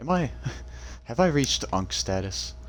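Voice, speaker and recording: Vocal fry from a man, with audible room echo. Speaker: gaming youtuber. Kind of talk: casual let's-play commentary. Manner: halting, many fillers.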